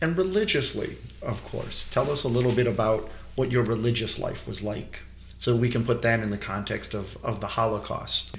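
Clear background noise fills the recording. A man talks at an even, medium speed. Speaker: rabbi and museum education director. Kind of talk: interview explanation.

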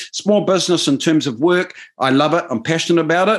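Talking at a fairly quick pace against a quiet background, a man speaks with a New Zealand accent. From New Zealand, Waikato (Maori). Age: 50s. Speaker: business advisor and political commentator. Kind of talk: casual interview chat.

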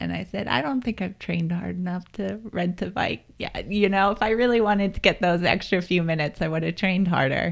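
This woman has an ordinary speaking voice at medium pitch, with an American accent. She talks at a fairly quick pace with hardly any pauses. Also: ordinary pitch variation. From Pennsylvania, US. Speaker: triathlete and crash survivor. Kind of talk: interview, personal testimony.

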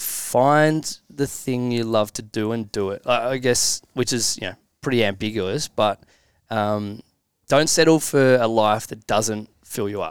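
Recorded very cleanly against a silent background, a man with an Australian accent speaks fairly slowly at medium pitch with ordinary pitch variation. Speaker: company leader. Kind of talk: casual chat.

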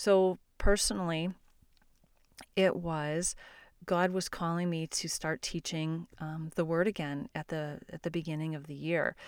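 An ordinary speaking voice from a woman, fairly low in pitch, fairly slow in pace, with fairly even intonation, a dry, close sound with no echo, and a very clean recording over a silent background. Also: big swings in loudness. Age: 50s. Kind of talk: devotional teaching podcast. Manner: casual, conversational.

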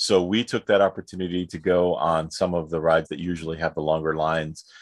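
Over a quiet background, a man with a New York accent speaks at a moderate pace in a very deep, low pitch with fairly even intonation. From New York City. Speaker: podcast co-host. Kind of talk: casual chat.

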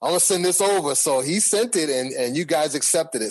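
Very wide pitch swings mark this very fast delivery in an American accent. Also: man. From Boston. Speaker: music artist. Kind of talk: interview.

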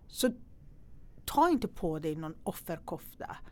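A woman's fairly low voice at a fairly slow pace. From Iran. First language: Persian (speaking Swedish). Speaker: entrepreneur and investor. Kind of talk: interview. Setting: studio.

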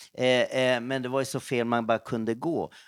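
A man speaks at a moderate pace and medium pitch in a plain, everyday voice. The recording is very clean with a silent background, and the sound is dry and close with no echo. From Stockholm, Sweden. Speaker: missionary and pastor. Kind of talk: testimony. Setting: office break room.

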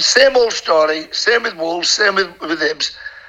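With a northern English accent, a man with a high pitch speaks at a moderate pace with ordinary pitch variation. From northern England. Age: 60s. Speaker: former goalkeeper. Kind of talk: casual interview chat. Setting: video call. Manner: rambling, animated.

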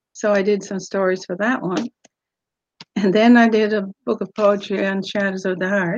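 Speaking at a moderate pace with fairly even intonation, a woman talks in a Newfoundland accent. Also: medium pitch for a woman. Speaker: author. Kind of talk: casual interview.

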